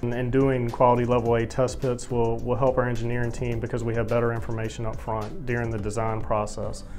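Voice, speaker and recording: Over faint background music, a man rattles off words very fast in a flat monotone with hardly any pauses. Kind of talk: interview answer. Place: office. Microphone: lapel.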